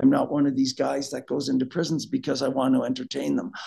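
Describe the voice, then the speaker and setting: A man's voice, marked by vocal fry, carries fairly even intonation over a quiet background. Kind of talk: interview answer. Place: office. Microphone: video call.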